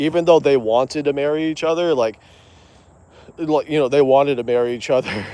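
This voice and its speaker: Dark, mellow tone with an American accent, a fairly quick pace and ordinary pitch variation. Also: man. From US South, Georgia (early childhood in Los Angeles area). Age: 20s. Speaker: live streamer. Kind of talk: casual livestream chat while walking. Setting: outdoors on a walk. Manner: halting, many fillers and restarts.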